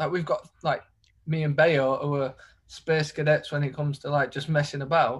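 With a Yorkshire accent, a man speaks in a somewhat breathy voice at a moderate pace with monotone, flat intonation, in a very clean recording with a silent background. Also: fairly high pitch for a man. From Leeds, northern England. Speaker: professional footballer. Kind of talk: casual chat.

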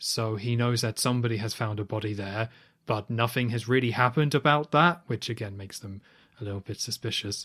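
The speaker talks at a fairly quick pace with a British accent. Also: man, medium pitch for a man, ordinary pitch variation, very clean recording, silent background. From UK. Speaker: podcast co-host. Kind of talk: casual chat.

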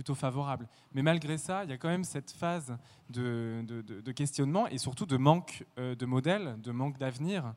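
In an ordinary speaking voice, a man talks at a moderate pace with medium pitch and ordinary pitch variation, on a very clean recording with a silent background. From France, rural Burgundy. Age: 20s. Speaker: ballet dancer. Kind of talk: interview testimony.

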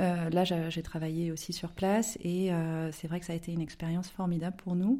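With a dark, mellow tone, a woman speaks at a moderate pace in a fairly low pitch and fairly even intonation. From southern France (Aix-en-Provence). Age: 30s. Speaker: novelist. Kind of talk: interview. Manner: hesitant, many fillers.

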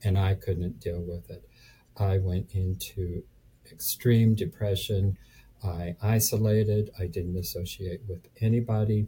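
A man speaks fairly slowly in a dark, mellow, somewhat breathy tone. His pitch is fairly low and his intonation fairly even. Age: 70s. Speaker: real estate investor. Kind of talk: casual interview chat. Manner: halting, filler words.

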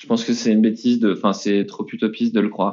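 A man speaks at a moderate pace. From France, Nantes. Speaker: entrepreneur, company co-founder. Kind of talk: interview.

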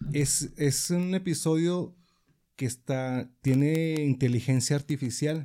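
A man with a dark, mellow tone and fairly high pitch, very slow pace and fairly even intonation. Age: 40s. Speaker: podcast host. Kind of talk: casual chat; reading aloud.

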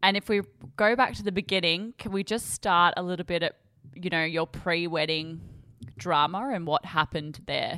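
Dry and close with no echo, a woman's fairly low voice comes in an unremarkable speaking voice at a moderate pace with ordinary pitch variation. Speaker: podcast co-host. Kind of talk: casual interview chat.

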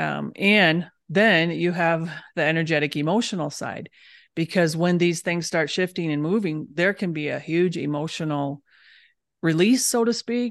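Against a quiet background, a woman with an American accent uses an ordinary speaking voice, fairly low in pitch with ordinary pitch variation, at a fairly slow pace. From Michigan, US Midwest. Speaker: holistic dentist. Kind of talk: casual interview chat.

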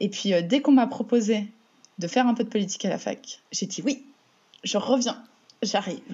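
A somewhat breathy woman with a fairly high pitch, ordinary pitch variation, a moderate pace and long, frequent pauses. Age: 20s. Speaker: municipal election candidate. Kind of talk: interview. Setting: remote call. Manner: halting, many repetitions and fillers.

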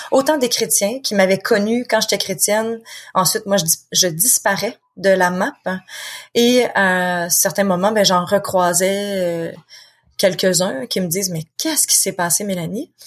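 A woman with a Quebec accent, medium pitch, ordinary pitch variation and a fairly slow pace. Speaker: author and founder of support association. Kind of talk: interview conversation.

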